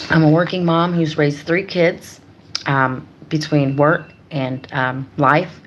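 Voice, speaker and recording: Very deep, low-pitched woman, fairly even intonation, very slow pace, noticeable background noise. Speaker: YouTuber, life coach. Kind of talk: motivational livestream talk. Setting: livestream.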